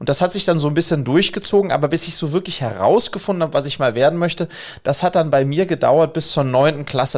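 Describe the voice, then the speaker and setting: In a plain, everyday voice, a man speaks at a fairly quick pace with lively intonation, on a very clean recording with a silent background. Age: 40s. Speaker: education entrepreneur. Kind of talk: podcast interview.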